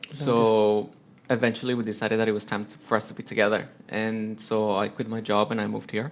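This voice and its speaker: A man with a Spanish accent speaks at a very fast pace and a fairly low pitch. His intonation is monotone and flat. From Colombia, Bogota. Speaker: teacher and amateur musician. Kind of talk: interview.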